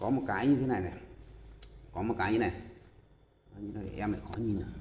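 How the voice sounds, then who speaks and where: Audible room echo surrounds a man speaking fairly quickly at a fairly low pitch with fairly even intonation. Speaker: karaoke audio technician. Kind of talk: tutorial. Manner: hesitant, many filler sounds.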